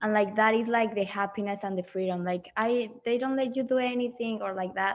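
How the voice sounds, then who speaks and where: With a Spanish accent, a woman talks fairly quickly in a fairly high pitch and fairly even intonation. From Mexico. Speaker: missionary trainee. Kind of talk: class discussion. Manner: halting.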